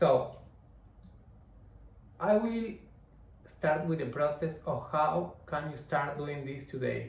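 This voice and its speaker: Someone with a Spanish accent speaks at a very slow pace with long, frequent pauses, and audible room echo can be heard. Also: man. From Argentina. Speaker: online business coach. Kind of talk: tutorial. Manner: halting, self-correcting.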